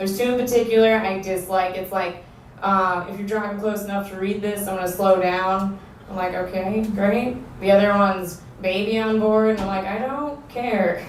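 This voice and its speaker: Speaking with an American accent, a woman keeps a medium pitch and fairly even intonation at a moderate pace. Noticeable background noise and audible room echo fill the recording. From New York. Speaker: stand-up comedian. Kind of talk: stand-up. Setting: stage with audience.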